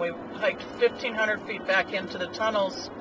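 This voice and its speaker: A man's voice sounds dry with no echo, with noticeable background noise behind it. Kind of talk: casual travel commentary. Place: car. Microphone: camera far.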